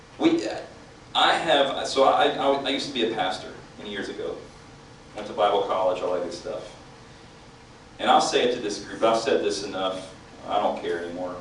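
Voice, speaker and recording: Speaking at a fairly quick pace with long, frequent pauses, a man is heard amid noticeable background noise and audible room echo. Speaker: activist speaker, former pastor. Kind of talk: speech to a political meeting. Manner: loud; animated.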